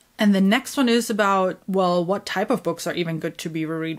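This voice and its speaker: In a very clean recording with a silent background, a woman with a German accent speaks at a fairly quick pace and medium pitch. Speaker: book YouTuber. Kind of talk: casual monologue.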